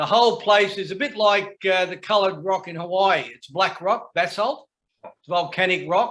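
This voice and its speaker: In an Australian accent, a man with a high-pitched voice talks at a moderate pace. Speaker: men's shed member, woodworker. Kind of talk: casual chat. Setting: video call.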